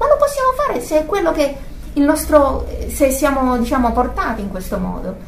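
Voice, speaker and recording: A woman talks at a fairly quick pace with ordinary pitch variation against noticeable background noise. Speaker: religious teacher. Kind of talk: religious teaching. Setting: group gathering. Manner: halting.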